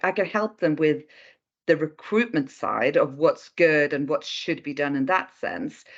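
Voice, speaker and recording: A woman with a Swedish accent and a very deep, low pitch speaks over a quiet background. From Sweden, Stockholm. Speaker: recruitment consultant. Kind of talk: interview.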